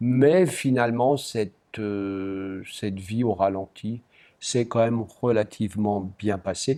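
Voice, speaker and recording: Recorded very cleanly against a silent background, a man speaks very slowly in a dark, mellow tone at a fairly low pitch with ordinary pitch variation. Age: 70s. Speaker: retired pharmacist, visually impaired charity fundraiser. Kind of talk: interview.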